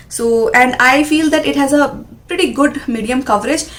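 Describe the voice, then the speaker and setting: A woman speaks with a high pitch and ordinary pitch variation. Noticeable background noise runs underneath. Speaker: beauty vlogger. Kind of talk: product review. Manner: fast.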